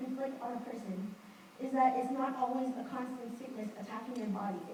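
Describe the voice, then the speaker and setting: A woman speaks at a high pitch and a fairly quick pace. Noticeable background noise runs underneath. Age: young. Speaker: student event director. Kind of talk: public speech.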